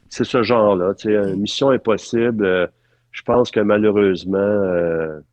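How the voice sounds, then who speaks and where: With fairly even intonation, a man speaks at a fairly slow pace and a fairly low pitch. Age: 60s. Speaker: film art director. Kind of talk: interview conversation. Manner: halting with many fillers.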